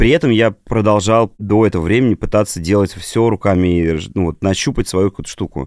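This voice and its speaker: A plain, everyday voice, with ordinary pitch variation. The sound is dry and close with no echo, in a very clean recording with a silent background. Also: man. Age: 30s. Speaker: creative director and design teacher. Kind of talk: casual chat.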